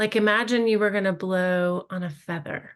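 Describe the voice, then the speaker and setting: Against a quiet background, a woman with a calm tone and fairly low pitch speaks at a moderate pace with fairly even intonation. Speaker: mindfulness and wellness instructor. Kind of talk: guided meditation. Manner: soft-spoken.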